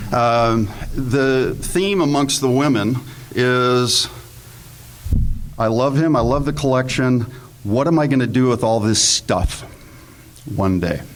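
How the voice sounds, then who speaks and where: With noticeable background noise behind him, a man at medium pitch speaks at a very slow pace, with ordinary pitch variation, very even loudness and long, frequent pauses. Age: 60s. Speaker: panelist, investment fund manager. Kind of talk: panel presentation to live audience. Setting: room with live audience. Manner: humorous, conversational.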